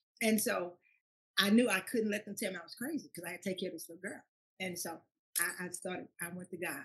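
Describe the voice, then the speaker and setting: A woman in an American accent, somewhat breathy, medium pitch with ordinary variation, very fast pace broken by long, frequent pauses, big swings in loudness. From Louisiana, Baton Rouge. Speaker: pastor and school founder. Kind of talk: testimony. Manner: halting.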